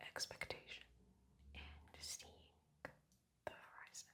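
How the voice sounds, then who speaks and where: Someone whispers over noticeable background noise. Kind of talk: ASMR tarot reading. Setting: recorded in Costa Rica with jungle birds and occasional traffic noise. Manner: soft whispers.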